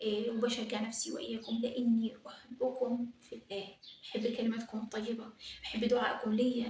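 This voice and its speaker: A woman with an Egyptian accent speaks at a fairly slow pace, her fairly high voice held in a monotone, flat intonation. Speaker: religious YouTuber. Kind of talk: religious advice talk.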